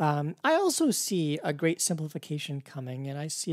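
Recorded very cleanly against a silent background with a dry, close sound and no echo, a man uses a normal speaking voice at a fairly high pitch with lively intonation. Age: 40s. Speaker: podcast host and university instructor. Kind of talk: interview; podcast intro and outro.

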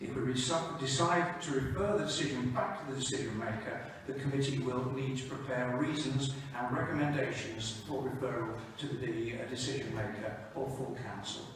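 Amid clear background noise and strong room echo, a man speaks at a moderate pace with a medium pitch and fairly even intonation.

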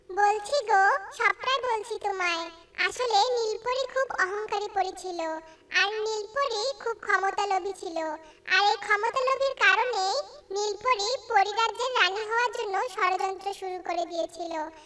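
An extremely high-pitched cartoonish character voice. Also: moderate pace. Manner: gentle, earnest.

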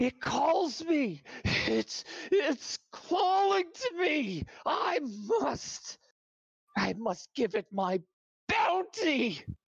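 In a put-on character voice pitched high, someone speaks at a very slow pace, with long, frequent pauses and very wide swings in pitch.

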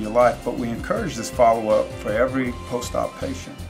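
Clear music sounds behind a man who speaks at a fairly quick pace. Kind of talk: explanatory talk to camera. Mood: calm, reassuring. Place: office.

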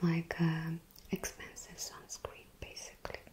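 This woman's voice is fairly low, dark and mellow, and somewhat breathy. She talks at a fairly slow pace. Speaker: perfume reviewer. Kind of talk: casual review talk.

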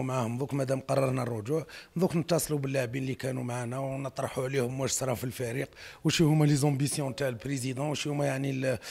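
The voice is somewhat breathy, with fairly even intonation. It moves at a very fast pace. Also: man. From Algeria. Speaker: football club president. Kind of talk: press statement. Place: hall. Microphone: handheld.

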